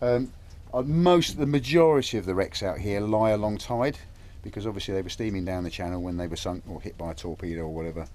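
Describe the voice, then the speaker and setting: A man with a fairly low pitch talks at a very fast pace. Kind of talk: interview answer. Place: boat. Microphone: phone near.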